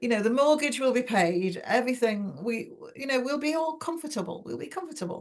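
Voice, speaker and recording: Her pitch is high and her intonation lively, with an English accent. The woman speaks at a moderate pace. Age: 70s. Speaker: novelist. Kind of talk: interview.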